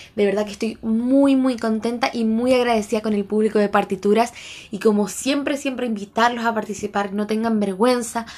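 Against noticeable background noise, a woman with a Chilean accent speaks with fairly even intonation. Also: fairly high pitch for a woman, moderate pace. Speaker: podcast host and street singer. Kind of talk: casual monologue.

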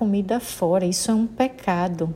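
A woman with a northeastern Brazilian accent, somewhat breathy, with a dark, mellow tone, ordinary pitch variation and a fairly slow pace. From Sergipe, Brazil. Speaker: Baptist pastor. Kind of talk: sermon.

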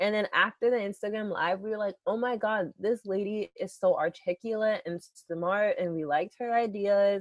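A woman speaks in a plain, everyday voice with an American accent at a medium pitch. She keeps a moderate pace with hardly any pauses and fairly even intonation. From US, Boston. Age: 20s. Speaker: working young adult, host's daughter. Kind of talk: casual chat.

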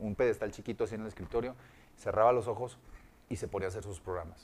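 At medium pitch, a man uses a normal speaking voice with ordinary pitch variation. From Monterrey, Mexico. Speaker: voice actor and radio announcer. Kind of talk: casual interview chat.

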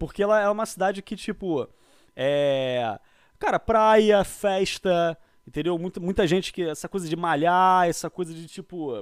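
A man with a Rio de Janeiro accent and a high pitch, with ordinary pitch variation and a fairly slow pace, in a dry, close recording with no echo, very clean with a silent background. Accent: Carioca Brazilian Portuguese. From Brazil, Rio de Janeiro. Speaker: podcast guest. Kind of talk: casual chat.

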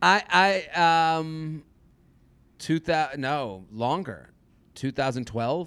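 A loud man with a fairly high pitch talks at a very slow pace, leaving long, frequent pauses. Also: lively intonation, very clean recording, silent background. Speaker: stand-up comedian. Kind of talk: interview conversation. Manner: halting, many false starts.

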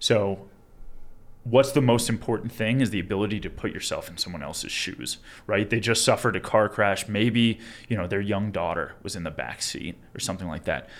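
A man with an American accent and an unremarkable speaking voice talks at a fairly quick pace in a fairly low pitch. His pitch varies in an ordinary way, and his loudness swings a lot. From Long Island, New York. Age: 20s. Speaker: attorney. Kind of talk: casual interview.

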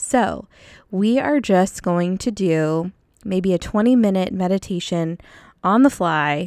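In a soothing, calm tone, a woman with a medium pitch speaks at a very slow pace with ordinary pitch variation on a very clean recording with a silent background. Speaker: podcast host and counselor. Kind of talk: guided meditation; casual chat. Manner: slow, soothing, calm; gentle, descriptive pacing with pauses.

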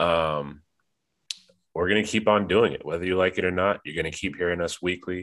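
A man speaks at a moderate pace with a low pitch, a nasal sound and a fairly bright tone.

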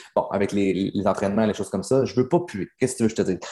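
The voice has a dark, mellow tone and ordinary pitch variation. It speaks in a Quebec accent. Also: man. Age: young. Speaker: business coach. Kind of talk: coaching session. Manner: animated.

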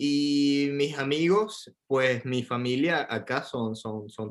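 A man speaks with a Venezuelan accent. His pitch varies in an ordinary way. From coastal Venezuela. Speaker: Venezuelan immigrant in Paris. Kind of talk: casual interview.

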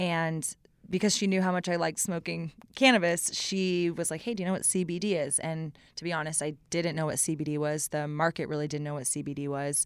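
In a very clean recording with a silent background, a woman with an unremarkable speaking voice talks at a fairly quick pace, her fairly low pitch carried on fairly even intonation. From Austin, Texas. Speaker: business founder. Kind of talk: casual interview.

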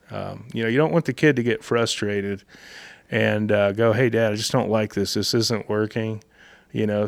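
A man speaks with an Appalachian accent on a very clean recording with a silent background. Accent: Southern Appalachian American. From US South, North Georgia mountains. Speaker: fly shop owner and fishing guide. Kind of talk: casual interview. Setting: in a fly shop.

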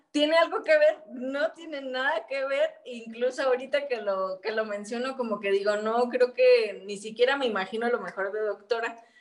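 Hardly pausing, a woman speaks at a moderate pace in a high pitch with ordinary pitch variation, over noticeable background noise. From Mexico, Michoacán (Quiroga). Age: 30s. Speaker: activist and entrepreneur, former local councillor. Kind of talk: interview conversation.

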